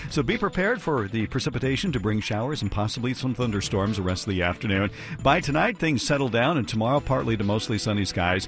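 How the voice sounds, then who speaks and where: Music plays in the background as a man with an American accent talks at a very fast pace with hardly any pauses. His medium-pitched voice has lively intonation. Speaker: radio news anchor. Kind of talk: radio newscast.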